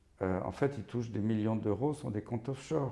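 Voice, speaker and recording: With a dark, mellow tone, a man speaks at a moderate pace and a fairly low pitch. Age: 60s. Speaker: physician and professor of infectious diseases. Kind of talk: interview. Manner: animated.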